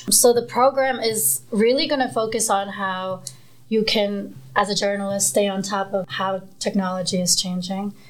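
Here is a woman with a normal speaking voice at a medium pitch. Her pitch varies in an ordinary way, and she talks at a moderate pace. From Queens, New York (born in Nepal). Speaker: news reporter. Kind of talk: casual chat.

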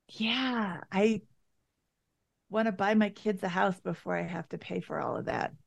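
A woman's medium-pitched voice with vocal fry, fairly even intonation, a fairly slow pace, and long, frequent pauses. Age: 50s. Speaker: guest, personal finance coaching. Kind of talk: casual chat.

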